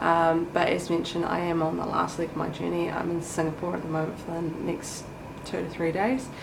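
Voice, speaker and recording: A woman at a fairly low pitch and fairly quick pace, with fairly even intonation, audible room echo and noticeable background noise. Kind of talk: travel vlog. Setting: hotel room.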